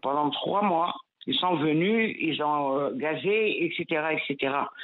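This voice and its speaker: At a fairly slow pace, a woman talks in a plain, everyday voice, fairly low in pitch with ordinary pitch variation. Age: 60s. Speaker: listener caller. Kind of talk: call-in testimony. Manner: emotional, insistent.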